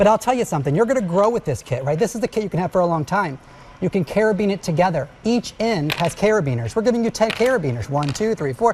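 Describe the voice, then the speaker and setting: A man with a high pitch talks at a very fast pace in an animated tone with very wide pitch swings. Noticeable background noise runs underneath. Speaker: TV shopping host presenting fitness product. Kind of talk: sales pitch with demonstration.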